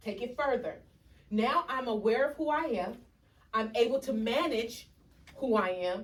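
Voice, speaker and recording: Fairly high and animated in tone, a woman's voice moves with lively intonation. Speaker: educational consultant. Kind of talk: workshop presentation. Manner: loud.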